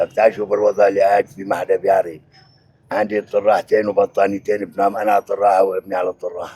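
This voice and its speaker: In a Syrian accent, a man speaks with a dry, close sound that has no echo. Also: fairly quick pace. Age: 70s. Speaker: displaced elderly father. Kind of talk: street interview.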